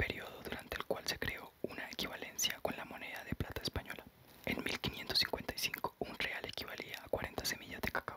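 A soft-spoken whisper at a fairly quick pace over loud background noise. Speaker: reader of a history book. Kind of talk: reading aloud. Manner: soft whispered ASMR reading.

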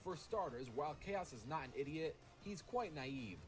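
Clear music sounds behind the speaker. He is a man talking at a moderate pace. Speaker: livestreamer. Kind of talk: reading a viewer's argument aloud on stream. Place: home room.

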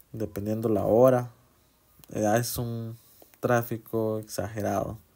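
A man with a Honduran accent speaks in a flat monotone. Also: quiet background. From Honduras. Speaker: travel vlogger. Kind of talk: casual vlog narration. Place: car. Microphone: phone near.

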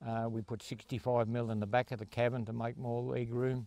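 A man's dark, mellow tone with monotone, flat intonation, in a dry sound with no echo. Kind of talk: interview answer. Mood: proud, relaxed. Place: open country. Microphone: handheld.

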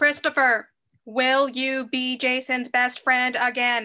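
In a put-on character voice, a female-sounding voice talks in a robotic monotone with flat intonation, high pitch for a woman and a fairly slow pace against a quiet background. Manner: loud.

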